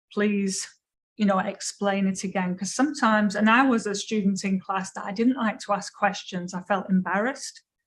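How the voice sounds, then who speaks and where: Speaking in an English accent, a woman talks at a moderate pace and medium pitch, somewhat breathy, with fairly even intonation. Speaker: education lecturer. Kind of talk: lecture Q&A.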